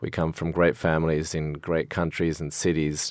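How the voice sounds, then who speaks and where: A man with an Australian accent speaks at a moderate pace in a very deep, low voice with monotone, flat intonation, recorded very cleanly against a silent background. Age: 50s. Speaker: financier. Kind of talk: interview.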